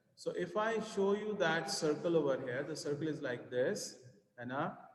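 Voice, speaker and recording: Audible room echo surrounds a man of fairly high pitch who speaks at a moderate pace with lively intonation. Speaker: maths teacher. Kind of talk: tutorial.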